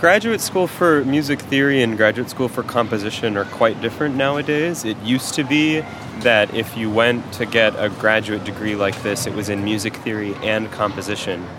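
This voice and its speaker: A man's medium-pitched voice at a moderate pace, hardly any pauses, ordinary pitch variation, and music in the background. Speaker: music theory PhD candidate and instructor. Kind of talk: interview.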